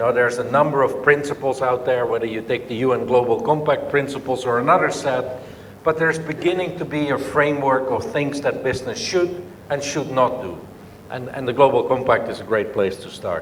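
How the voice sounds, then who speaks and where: Noticeable background noise and audible room echo surround the recording. A man speaks at a fairly quick pace and fairly high pitch with ordinary pitch variation. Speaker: business leader. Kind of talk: conference speech. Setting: conference session with audience.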